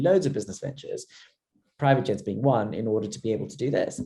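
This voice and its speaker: A man's somewhat breathy voice in a London accent, dark and mellow in tone, medium in pitch, at a very fast pace. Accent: sounds like a Londoner. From Zimbabwe. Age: 30s. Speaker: entrepreneur. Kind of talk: interview. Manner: halting, many fillers and repeats.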